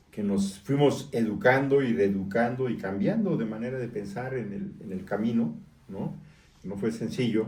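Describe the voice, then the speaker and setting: A man speaks with a dark, mellow tone. Room echo is audible around him. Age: 60s. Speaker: newspaper editor and political activist. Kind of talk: interview.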